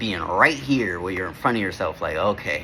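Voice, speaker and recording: A man talks at a moderate speed, with noticeable background noise audible throughout. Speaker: vlogger. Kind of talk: casual vlog monologue. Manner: halting, self-correcting; casual, slangy.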